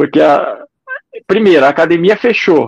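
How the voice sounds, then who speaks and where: A man speaks at a moderate pace with lively intonation. The sound is dry and close, with no echo. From Curitiba, Paraná, Brazil. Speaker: ultramarathon runner and trail running coach. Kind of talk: interview.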